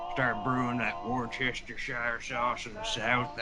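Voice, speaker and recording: A man's put-on character voice at a medium pitch and moderate pace, with loud background noise. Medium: comedy sketch. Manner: stammering.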